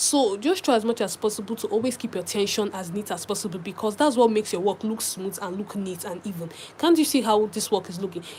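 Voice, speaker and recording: At a very fast pace, a woman speaks at medium pitch in a somewhat breathy voice. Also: ordinary pitch variation, hardly any pauses. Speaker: crochet tutorial creator. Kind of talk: live stream tutorial chat.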